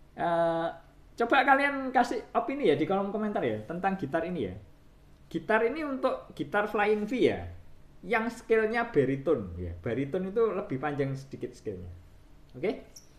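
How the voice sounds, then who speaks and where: Audible room echo surrounds speech delivered at a moderate pace. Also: man, high pitch for a man. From Indonesia. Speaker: guitar shop owner and technician. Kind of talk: video tutorial / product showcase. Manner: casual, repetitive fillers. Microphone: phone near.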